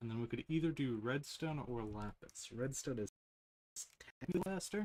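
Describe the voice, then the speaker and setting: A quiet man speaks at medium pitch and a moderate pace, with lively intonation. The sound is dry and close, with no echo. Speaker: gaming streamer. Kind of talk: live game stream chat. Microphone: quiet stream audio.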